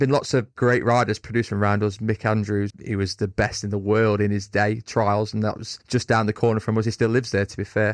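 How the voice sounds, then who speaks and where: In a Derbyshire accent, a man speaks at a fairly quick pace and fairly low pitch with hardly any pauses, the sound dry and close with no echo on a very clean recording with a silent background. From Derbyshire, England. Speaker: fitness coach for motorcyclists. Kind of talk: casual interview chat. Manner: animated.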